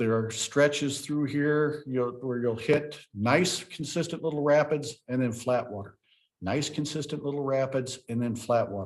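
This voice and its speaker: Here is an ordinary speaking voice from a man with a fairly high pitch. He talks at a moderate pace with ordinary pitch variation. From US Ozarks. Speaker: park ranger. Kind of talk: presentation.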